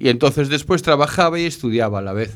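A man with a medium pitch talks on a very clean recording against a silent background. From Galicia, northern. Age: 50s. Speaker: shelter resident, former taxi driver and cook. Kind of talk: interview. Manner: halting.

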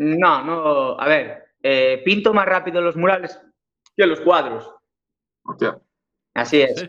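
This man has a high pitch and ordinary pitch variation. He speaks at a very slow pace with long, frequent pauses. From Galicia, Spain (Cambre, A Coruña). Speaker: painter and muralist. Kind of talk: interview.

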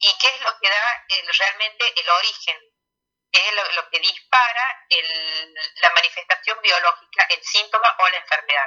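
A woman's medium-pitched voice at a fairly slow pace with ordinary pitch variation. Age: 40s. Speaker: pediatrician and alternative therapist. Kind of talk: radio interview. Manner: hesitant, many fillers.

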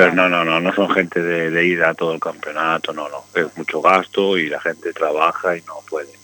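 A man speaks fairly quickly with a very deep, low pitch and monotone, flat intonation. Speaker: motorcycle mechanic. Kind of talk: casual chat. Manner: fast.

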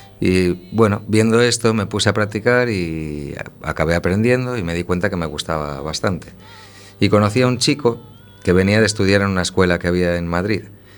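Music plays in the background as a man speaks fairly quickly at a fairly low pitch. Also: ordinary pitch variation. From A Coruña, Galicia, Spain. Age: 30s. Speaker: circus juggler. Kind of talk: radio interview.

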